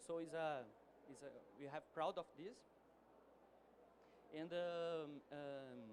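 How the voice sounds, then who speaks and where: At a very slow pace and with a Portuguese accent, a man with a fairly high pitch talks with fairly even intonation and long, frequent pauses. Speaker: energy company executive. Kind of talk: conference presentation. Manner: halting.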